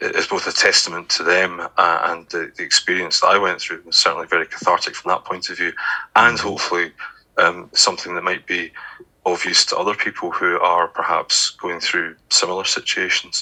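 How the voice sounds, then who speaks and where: This man talks at a fairly quick pace in a Scottish accent. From Scotland, Glasgow. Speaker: author and poet. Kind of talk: interview. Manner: hesitant, many fillers.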